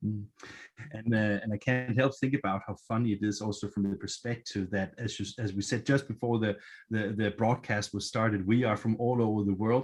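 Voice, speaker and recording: The speaker has a Danish accent and talks at a fairly quick pace with fairly even intonation. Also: man, fairly low pitch for a man, quiet background. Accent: Danish accent, noticeable. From Denmark. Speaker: event moderator. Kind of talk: virtual event moderation. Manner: hesitant, many fillers.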